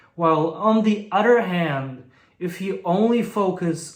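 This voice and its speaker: A man's high-pitched voice with a Bulgarian accent, at a very slow pace with ordinary pitch variation and audible room echo. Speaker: language learning youtuber. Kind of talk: vlog monologue.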